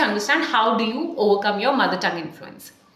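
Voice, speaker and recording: Audible room echo surrounds a woman speaking at a fairly quick pace. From India. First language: Hindi or Punjabi. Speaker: communication coach; English speaking coach. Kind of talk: tutorial. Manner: exaggerated mouth movements. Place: home room.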